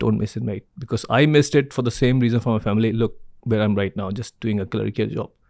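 In a very clean recording with a silent background, a man of medium pitch speaks at a fairly quick pace with ordinary pitch variation. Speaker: supply chain consultant and entrepreneur. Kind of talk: interview. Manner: fast talker; animated.

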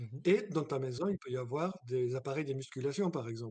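A man speaks at a moderate pace in a fairly high register, his voice somewhat breathy. His pitch varies in an ordinary way. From abroad, not France. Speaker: guest house owner. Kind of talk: interview.

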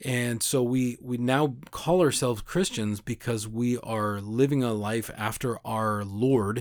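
With an American accent, a man speaks at a very slow pace and medium pitch with ordinary pitch variation, in a very clean recording with a silent background. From United States. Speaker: podcast host. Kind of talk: casual religious monologue. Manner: halting, many fillers and repeats.

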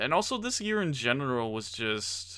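The man's voice has a bright, sharp tone. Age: 20s. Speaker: gaming podcast host. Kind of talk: casual monologue. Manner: animated.

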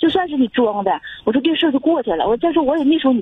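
A woman talks at a very fast pace in a high voice with very wide pitch swings. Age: 40s. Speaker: caller, full-time mother. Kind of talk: phone-in advice call. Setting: phone call. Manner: halting.

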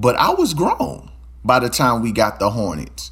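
A man's animated voice with an American accent. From Louisiana, Baton Rouge. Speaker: podcast host. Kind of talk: casual monologue.

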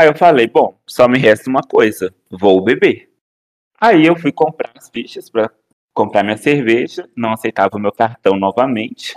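A normal speaking voice moves at a moderate pace with lively intonation and big swings in loudness. The sound is dry and close, with no echo. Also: man, medium pitch for a man. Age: 20s. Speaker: podcast guest. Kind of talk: casual chat.

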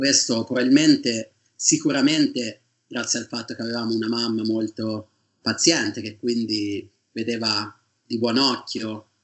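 A man in a plain, everyday voice talks at a fairly slow pace, medium in pitch and fairly even in intonation. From Tuscany, Italy (province of Siena). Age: 30s. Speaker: PhD student in geology. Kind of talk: interview.

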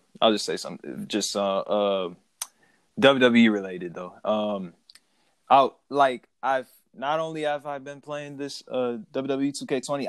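Lively intonation and big swings in loudness mark an ordinary speaking voice. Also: man. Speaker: podcast host. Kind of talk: casual chat about wrestling. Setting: remote call recording.

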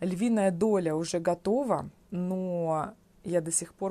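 Her voice is fairly low for a woman, with a dark, mellow tone and fairly even intonation. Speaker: Russian language teacher. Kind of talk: unscripted solo podcast for learners. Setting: at home on a sofa. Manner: slow; clear enunciation.

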